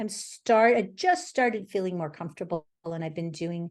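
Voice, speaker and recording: A woman at medium pitch and a moderate pace, with very wide pitch swings and a quiet background. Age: 60s. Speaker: painter. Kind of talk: casual chat. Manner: halting.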